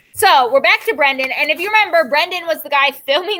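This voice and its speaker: Raising and projecting her voice, a woman talks very fast in a bright, sharp tone with lively intonation. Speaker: school teacher. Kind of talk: classroom lesson recorded for students, then reading aloud. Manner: casual, with many fillers.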